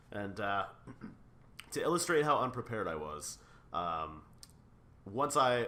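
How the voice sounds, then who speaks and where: A man with a very deep, low pitch speaks in a bright, sharp tone with lively intonation. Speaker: martial artist and adventurer. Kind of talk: interview answer. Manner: casual, humorous storytelling.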